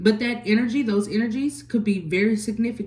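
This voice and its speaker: Speaking at a fairly quick pace, a woman has a dark, mellow tone that is somewhat breathy. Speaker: tarot reader. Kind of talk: tarot reading.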